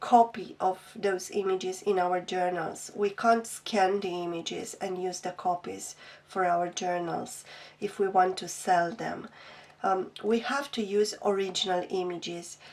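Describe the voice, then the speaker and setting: Using fairly even intonation, the speaker talks at a fairly slow pace with a non-native accent. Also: woman, medium pitch for a woman. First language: not English. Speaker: craft youtuber. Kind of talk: product flip-through review. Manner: hesitant, many ums.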